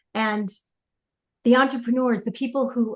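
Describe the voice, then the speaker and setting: Somewhat breathy speech comes through here. It belongs to a woman. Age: 50s. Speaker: podcast host and coach. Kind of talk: interview podcast.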